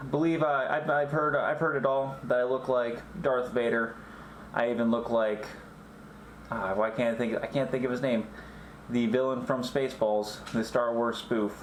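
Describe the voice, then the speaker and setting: At a fairly slow pace, a man speaks at a medium pitch with ordinary variation, with noticeable background noise and audible room echo. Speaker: vlogger. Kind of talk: casual vlog monologue. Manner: halting, self-correcting; loud when wearing face shield. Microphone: echoey through face shield.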